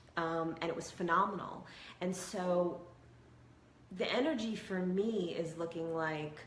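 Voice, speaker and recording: The voice shows ordinary pitch variation, with audible room echo. Noticeable background noise runs underneath. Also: woman. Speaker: hypnotherapist and spiritual video host. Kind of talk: casual monologue to camera.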